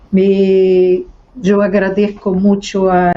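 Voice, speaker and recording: Her voice has a dark, mellow tone and sits at a medium pitch. The woman speaks with a Brazilian accent. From Brazil, Rio de Janeiro. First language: Portuguese (speaking Spanish). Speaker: mediator and researcher. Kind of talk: panel discussion. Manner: halting.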